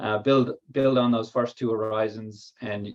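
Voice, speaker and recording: A man with an Irish accent, medium-pitched, at a moderate pace in a flat monotone. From Ireland. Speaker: biotech company co-founder and technical lead. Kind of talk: workshop presentation. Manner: hesitant, many fillers.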